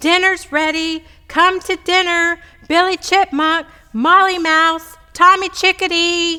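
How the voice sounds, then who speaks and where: A woman puts on a character voice, pitched extremely high and raised and projected, moving at a fairly slow pace. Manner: loud, calling out.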